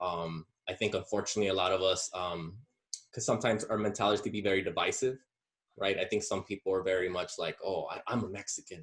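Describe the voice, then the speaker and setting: Very fast and somewhat breathy, a man with an American accent speaks at a fairly low pitch with fairly even intonation. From Southern California, US. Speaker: podcast guest. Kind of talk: casual discussion. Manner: halting, many fillers.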